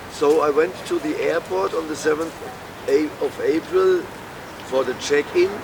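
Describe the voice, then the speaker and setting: A man with a German accent talks at a fairly slow pace, leaving long, frequent pauses, with noticeable background noise behind him. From Germany (Würzburg). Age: 60s. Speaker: homeless man telling his story. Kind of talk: street interview testimony. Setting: outdoors on a street.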